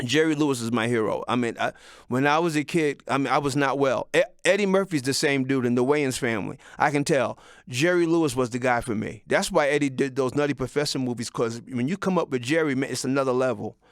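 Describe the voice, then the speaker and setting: A man's animated, very fast speech at a fairly high pitch with ordinary pitch variation, on a very clean recording with a silent background. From Mount Vernon, New York. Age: 60s. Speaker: vlogger. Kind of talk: casual monologue.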